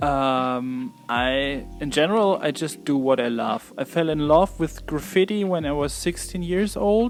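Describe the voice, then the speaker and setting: A man with a German accent speaks at a fairly high pitch and a fairly slow pace. His intonation is lively, with hardly any pauses. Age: 30s. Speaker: graffiti artist. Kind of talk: interview. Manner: halting.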